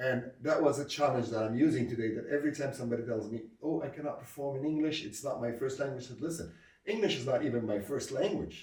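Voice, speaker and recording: Speaking at a very fast pace with an Arabic accent, a man with a medium-pitched, somewhat breathy voice is heard amid audible room echo. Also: ordinary pitch variation. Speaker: comedy club founder and comedian. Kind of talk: interview. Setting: sit-down interview. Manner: hesitant, with frequent fillers.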